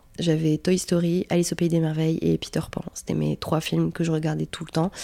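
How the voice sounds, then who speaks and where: This woman speaks at a moderate pace with a fairly low pitch. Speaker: podcast host. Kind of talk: casual monologue. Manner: hesitant, many fillers.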